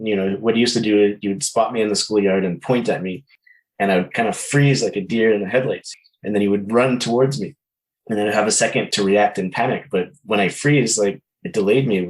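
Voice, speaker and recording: A man speaks at a fairly quick pace in a fairly low pitch with fairly even intonation. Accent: Canadian. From Quebec, Canada (from Ottawa until about 8). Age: 40s. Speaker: musician. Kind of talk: interview, personal testimony. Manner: halting, many repeated words and fillers.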